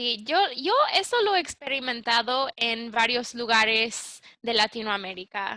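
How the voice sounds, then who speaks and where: A woman with a plain, everyday voice speaks at a fairly slow pace, pitched fairly high. She leaves hardly any pauses, and her pitch varies in an ordinary way. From United States. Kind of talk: interviewer questions.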